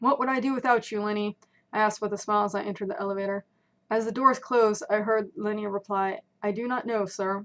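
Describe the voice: Someone gives a plain reading aloud against a quiet background.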